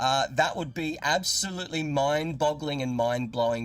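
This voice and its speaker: A man with an Australian accent talks at a fairly quick pace and fairly high pitch, with ordinary pitch variation. The recording is very clean, with a silent background. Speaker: gaming YouTuber. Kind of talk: live stream gameplay commentary. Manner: animated.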